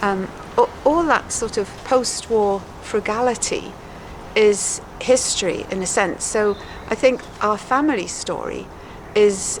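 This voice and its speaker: Against noticeable background noise, a woman speaks at a fairly high pitch and a fairly slow pace, with ordinary pitch variation and long, frequent pauses. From Wales, Hay-on-Wye. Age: 70s. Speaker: author. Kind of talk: interview.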